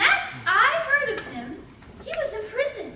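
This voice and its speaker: Over loud background noise and a slight echo, a woman uses a put-on character voice that is squeaky and extremely high, with lively intonation at a fairly slow pace. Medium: stage play. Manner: flustered, twittery.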